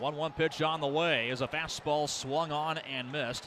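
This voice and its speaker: A man speaks at a moderate pace with a bright, sharp tone and fairly high pitch, his intonation fairly even. Crowd noise runs in the background. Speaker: sports play-by-play announcer. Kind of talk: baseball play-by-play commentary.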